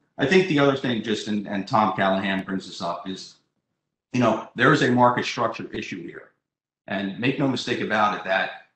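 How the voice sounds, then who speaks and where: A man talks at a moderate pace with ordinary pitch variation. His loudness swings widely, and the room echo is audible. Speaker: webinar panelist. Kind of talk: panel discussion answer. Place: home room. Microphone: video call.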